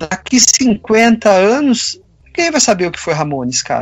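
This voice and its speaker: A man speaks at a fairly slow pace. His voice is high for a man, with lively intonation. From Campinas, São Paulo state, Brazil. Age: 50s. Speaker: sculptor and illustrator. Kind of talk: casual interview chat.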